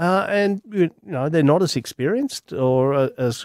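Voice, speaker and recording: Sound here is dry and close with no echo, as a man with an Australian accent talks at a fairly high pitch with ordinary pitch variation. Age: 50s. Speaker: sports podcast host. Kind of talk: casual sports chat.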